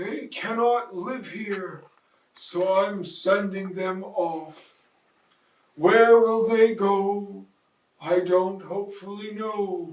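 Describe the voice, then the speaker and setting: Using a put-on character voice at a middle pitch, the speaker goes very slowly with a slight echo. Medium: read story. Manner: snappish, scolding.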